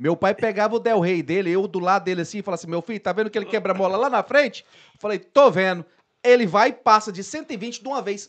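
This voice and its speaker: Over a quiet background, a man talks very fast in a high voice with ordinary pitch variation. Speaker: podcast host. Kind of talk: casual chat. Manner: casual, slangy. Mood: joking, storytelling. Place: studio. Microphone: studio mic.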